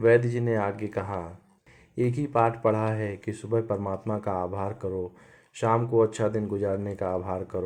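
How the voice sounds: The voice is a natural reading voice. Its intonation is fairly even.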